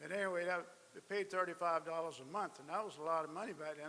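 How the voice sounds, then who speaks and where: Very fast speech from a man with a high pitch, in a South Carolina accent. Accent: Southern US (South Carolina). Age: 70s. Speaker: speaker at memorial ceremony. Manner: halting.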